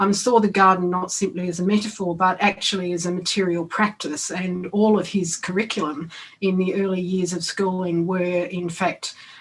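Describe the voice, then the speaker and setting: In an Australian accent, a woman talks at a moderate pace and medium pitch. Her voice is somewhat breathy, with monotone, flat intonation. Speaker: education academic. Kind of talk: conference talk. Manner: halting, many fillers.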